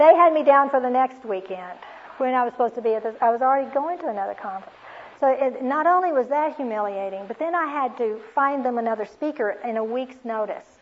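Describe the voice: A woman's fairly high voice, fast and lively in intonation, with few pauses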